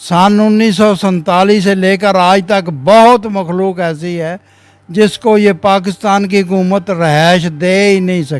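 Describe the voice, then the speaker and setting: This man has a high voice. His intonation stays fairly even. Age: 80s+. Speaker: old age home resident. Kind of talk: interview testimony. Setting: old age home.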